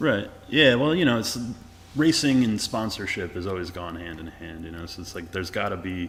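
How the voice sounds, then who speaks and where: Very deep, low male pitch, animated tone and lively intonation at a fairly quick pace, with audible room echo. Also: big swings in loudness. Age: 30s. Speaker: podcast host. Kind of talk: casual interview.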